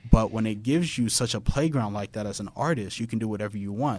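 A very fast-talking man with a Houston accent. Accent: Southern US, Houston area. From Texas. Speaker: podcast guest, childhood friend of host. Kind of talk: casual chat, interview. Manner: animated, conversational.

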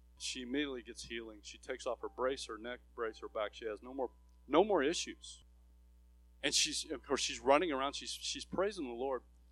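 Big swings in loudness at a fairly quick pace. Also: man. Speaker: missionary. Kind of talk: sermon.

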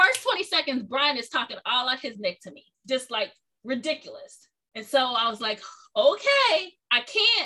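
A woman with a high pitch speaks in a raised, projected voice at a moderate pace, her tone animated. Her pitch swings very widely and her loudness shifts a lot. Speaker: podcast host. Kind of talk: casual conversation interview.

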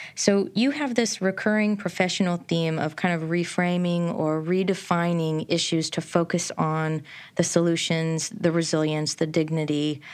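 A woman with an unremarkable speaking voice and a fairly low pitch talks at a moderate pace with hardly any pauses. Her intonation is fairly even, and the recording is very clean with a silent background. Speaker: podcast host. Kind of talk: scripted intro and interview.

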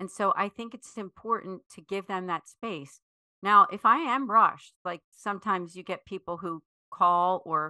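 A woman's bright, sharp, medium-pitched voice with ordinary pitch variation, in a dry, close sound with no echo against a quiet background. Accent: American. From US Northeast, Philadelphia area. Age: 50s. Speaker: foundation executive director. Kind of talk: interview.

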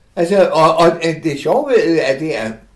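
Audible room echo surrounds a man whose fairly high voice swings very widely in pitch. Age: 80s+. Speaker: interviewee, older online gamer. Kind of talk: casual interview. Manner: halting.

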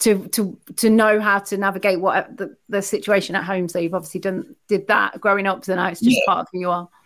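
A woman speaking at a fairly quick pace in a monotone, flat tone, in a very clean recording with a silent background. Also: medium pitch for a woman, hardly any pauses. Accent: East Midlands. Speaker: podcast host. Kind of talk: casual interview.

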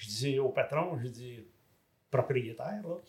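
A man's somewhat breathy, fairly high voice at a fairly slow pace. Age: 70s. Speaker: married retiree sharing couple story. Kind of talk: casual interview.

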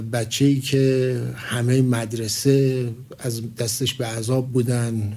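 A man's dark, mellow, somewhat breathy voice in monotone, flat intonation, with audible room echo. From Iran, Tehran. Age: 50s. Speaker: project manager, engineer. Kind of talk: interview. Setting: studio.

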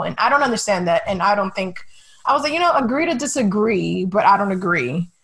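A woman talks at a fairly quick pace. Her voice is fairly high and somewhat breathy. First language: Spanish. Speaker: sports writer and podcast host. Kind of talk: casual chat.

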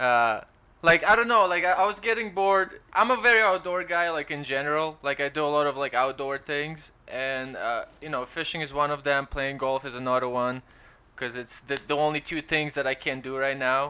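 A man with an Eastern European accent, fairly high pitch and moderate pace, over a quiet background. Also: ordinary pitch variation. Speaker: stand-up comedian. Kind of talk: casual chat. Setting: remote call.

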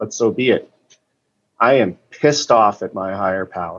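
Spoken with an American accent, the voice shows ordinary pitch variation. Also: man. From Boston. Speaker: meeting participant sharing. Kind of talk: recovery meeting share. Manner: emotional, distressed.

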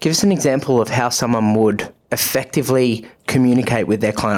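Very fast delivery with ordinary pitch variation. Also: man. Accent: Australian. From Australia, Melbourne. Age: 20s. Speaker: podcast host and personal trainer. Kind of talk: casual interview.

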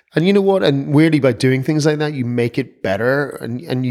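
In an Irish accent, a man speaks with lively intonation. The recording is very clean with a silent background. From Ireland, Donegal. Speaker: film producer. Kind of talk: interview.

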